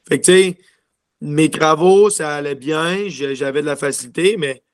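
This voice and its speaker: With a Quebec accent, a man talks at a moderate pace in a fairly high pitch with ordinary pitch variation. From Quebec City. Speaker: junior hockey player. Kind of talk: interview. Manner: halting.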